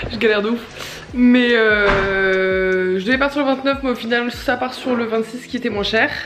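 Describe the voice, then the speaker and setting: Over noticeable background noise, a woman talks with hardly any pauses. Her pitch is fairly high and her intonation fairly even. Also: fairly slow pace. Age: 20s. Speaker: vlogger. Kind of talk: vlog. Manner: casual, hesitant with fillers.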